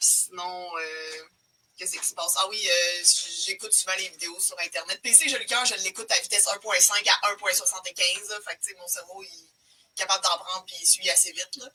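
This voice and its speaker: Over music in the background, a woman talks at a fairly quick pace with big swings in loudness. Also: medium pitch for a woman, ordinary pitch variation. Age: 20s. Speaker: Excel trainer. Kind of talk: casual chat. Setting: livestream video.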